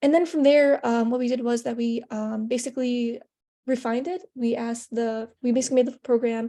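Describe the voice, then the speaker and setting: A woman's high-pitched voice with a dark, mellow tone at a fairly quick pace. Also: fairly even intonation. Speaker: hackathon participant. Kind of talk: project presentation. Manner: stuttering, halting; casual, many fillers.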